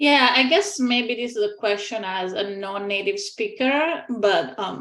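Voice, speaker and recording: Pitched fairly high, a woman speaks at a very slow pace. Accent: non-native. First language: not English. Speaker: scientific advisory panel member. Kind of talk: panel meeting discussion.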